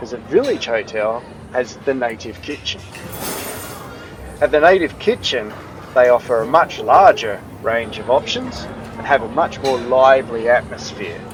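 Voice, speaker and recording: A man talks at a moderate pace and a medium pitch. Music plays behind him, and his pitch varies in an ordinary way. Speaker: travel vlogger. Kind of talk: casual hotel review vlog.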